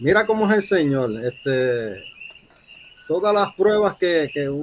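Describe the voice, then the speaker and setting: A man talks at a fairly slow pace in a fairly high voice with lively intonation. Noticeable background noise runs underneath. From Puerto Rico. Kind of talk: interview.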